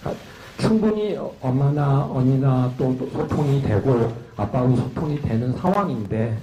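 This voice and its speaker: Amid noticeable background noise and audible room echo, a man with a medium pitch talks at a fairly slow pace with lively intonation. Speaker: journalist. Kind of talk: press conference question. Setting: press conference.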